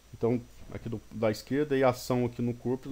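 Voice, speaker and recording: A man's medium-pitched voice at a very fast pace. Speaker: engineering teacher. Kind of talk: recorded lecture. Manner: fast at times; halting, many false starts.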